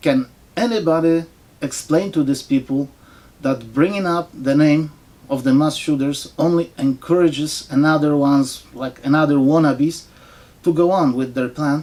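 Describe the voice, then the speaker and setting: A speaker with a non-native accent talks at a moderate pace. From foreign-born, not US. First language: not English. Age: old. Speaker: political commentator vlogger. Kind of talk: opinion monologue. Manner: sarcastic.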